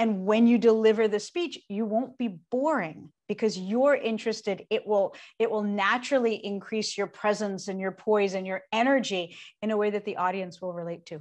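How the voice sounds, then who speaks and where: A woman talks at a moderate pace with a fairly high pitch and ordinary pitch variation, in an unremarkable speaking voice. The background is quiet. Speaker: public speaking coach and singer-songwriter. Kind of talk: interview.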